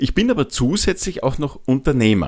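A man's pitch swings very widely as he keeps a moderate pace. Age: 40s. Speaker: podcast host, change and habits coach. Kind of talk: solo podcast monologue. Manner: frequent filler hesitations.

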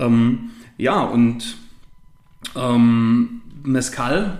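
Audible room echo and noticeable background noise surround a man as he talks. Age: 30s. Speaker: spirits salesman. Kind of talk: casual interview. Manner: halting, many fillers.

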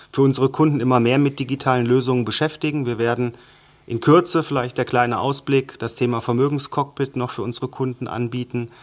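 A man at a medium pitch, fairly quick in pace, with monotone, flat intonation. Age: 30s. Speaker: bank wealth management head. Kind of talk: interview explanation.

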